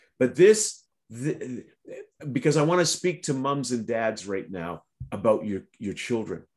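A man uses lively intonation while talking at a fairly slow pace. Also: quiet background. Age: middle-aged. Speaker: prayer broadcast host. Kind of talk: devotional talk and interview. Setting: online video broadcast. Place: home room. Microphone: video call.

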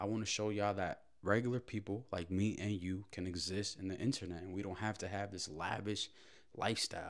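With an unremarkable speaking voice, a man talks at a fairly quick pace and a fairly low pitch, his intonation fairly even over a quiet background. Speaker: daily vlogger. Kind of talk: casual vlog chat. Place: kitchen. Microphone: handheld.

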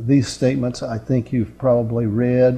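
Over faint music in the background, a man talks in a monotone, flat delivery. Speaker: preacher. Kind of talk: sermon. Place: classroom.

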